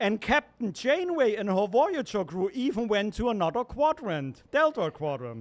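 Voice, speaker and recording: This man's voice is high in pitch, swinging very widely up and down as he speaks at a moderate pace. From Germany. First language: German. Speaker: open mic comedian, venue staff member. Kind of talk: stand-up. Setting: stage with audience.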